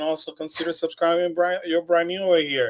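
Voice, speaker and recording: A man's high-pitched, animated voice at a moderate pace, on a very clean recording with a silent background. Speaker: theme park news livestreamer. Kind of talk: casual chat. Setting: livestream.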